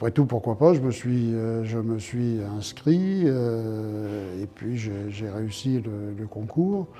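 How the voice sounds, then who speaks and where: A man talks very slowly at a medium pitch with hardly any pauses. His tone is dark and mellow, with ordinary pitch variation. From France, Lyon. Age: 70s. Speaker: retired prison director. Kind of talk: interview testimony.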